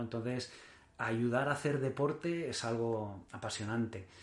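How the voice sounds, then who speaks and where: His pace is very slow. The man's pitch is medium, with ordinary pitch variation. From Mallorca, Spain. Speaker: endurance triathlete. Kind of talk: interview. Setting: in the host's home.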